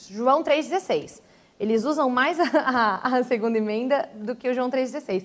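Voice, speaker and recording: On a very clean recording with a silent background, a woman speaks with a high pitch. Her pace is moderate and her pitch varies in an ordinary way. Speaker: language teacher and church member. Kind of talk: TV panel discussion. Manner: halting, many repetitions.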